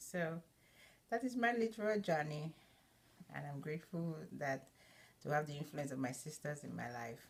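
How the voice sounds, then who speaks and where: At a moderate pace, a woman with a Nigerian accent speaks at a very deep, low pitch with lively intonation. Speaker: student. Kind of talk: personal narrative. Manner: halting, many fillers.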